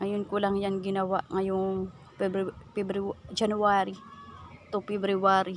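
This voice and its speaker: A woman speaks in a medium pitch with a monotone, flat intonation, at a fairly slow pace broken by long, frequent pauses. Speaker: vlogger. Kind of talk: casual vlog narration. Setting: outdoors. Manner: halting.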